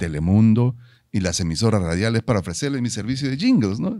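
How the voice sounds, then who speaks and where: Against a quiet background, a man speaks in a medium pitch with a dark, mellow tone and very wide pitch swings, the sound dry with no echo. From Peru. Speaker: musician and commercial voice-over announcer; commercial voice-over announcer. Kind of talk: casual interview. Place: studio. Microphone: studio mic.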